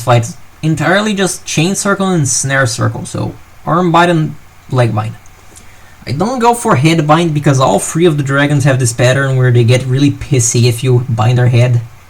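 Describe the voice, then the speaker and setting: A man talks with a non-native accent and lively intonation. Noticeable background noise runs behind him. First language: not English. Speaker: gaming commentator. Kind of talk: post-game commentary. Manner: casual, halting.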